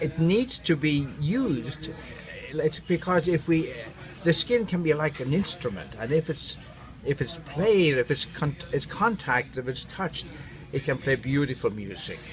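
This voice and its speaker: With noticeable background noise behind him, a man speaks at a fairly high pitch with lively intonation. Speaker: neurotherapist. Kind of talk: interview. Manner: warm and engaging; halting.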